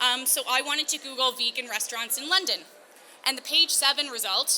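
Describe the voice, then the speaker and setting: A woman speaks in a raised, projected voice at a high pitch, her tone bright and sharp. Her pace is fairly quick, with ordinary pitch variation. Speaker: digital marketing specialist. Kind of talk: conference talk. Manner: fast.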